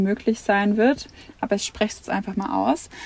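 A woman talks at a medium pitch with fairly even intonation, noticeable background noise behind her. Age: 20s. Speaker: family traveller and social media creator. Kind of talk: podcast interview. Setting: inside a motorhome.

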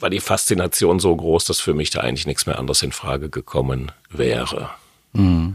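The voice has vocal fry and ordinary pitch variation, moving at a moderate pace. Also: man, very deep, low pitch for a man. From Westphalia, Germany (Hamm). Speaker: jazz pianist. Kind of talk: casual interview. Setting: jazz club.

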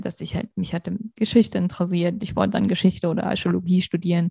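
With vocal fry and a dark, mellow tone, a woman speaks at a very fast pace and a fairly low pitch. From Hesse, Germany. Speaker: interview guest, professional. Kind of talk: interview.

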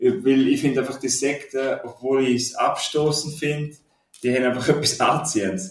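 A man's somewhat breathy, fairly high voice at a moderate pace, with ordinary pitch variation. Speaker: film podcast co-host. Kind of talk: casual chat. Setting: shared mic in military barracks.

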